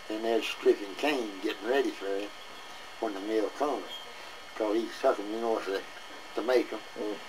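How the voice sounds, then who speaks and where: Over noticeable background noise, a man talks with fairly even intonation and long, frequent pauses. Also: medium pitch for a man, moderate pace. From Southern Kentucky. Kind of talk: oral history interview. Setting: outdoors, front porch. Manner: rambling, casual storytelling.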